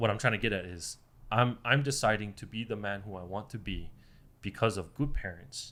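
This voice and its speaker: Fairly low in pitch yet bright and sharp in tone, a man speaks at a fairly quick pace with big swings in loudness. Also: ordinary pitch variation. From Hawaii. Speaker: sport shooter. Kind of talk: casual chat.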